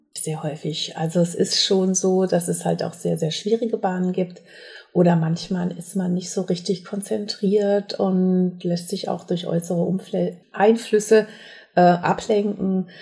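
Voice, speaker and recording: A woman speaks fairly slowly at a medium pitch, somewhat breathy. Her tone is dark and mellow, her intonation fairly even. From Sauerland, western Germany. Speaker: competitive minigolf player. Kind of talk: interview.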